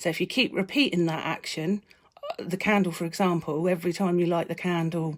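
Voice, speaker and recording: Her pitch fairly low, a woman talks at a fairly quick pace with fairly even intonation. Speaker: meditation teacher. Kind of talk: live video talk. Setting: live video. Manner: fast.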